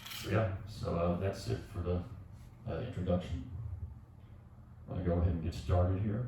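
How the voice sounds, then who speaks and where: The speech comes at a fairly quick pace, broken by long, frequent pauses. Noticeable background noise and audible room echo are present. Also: man, very deep, low pitch for a man, ordinary pitch variation. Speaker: yoga instructor. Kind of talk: tutorial. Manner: soft-spoken; halting.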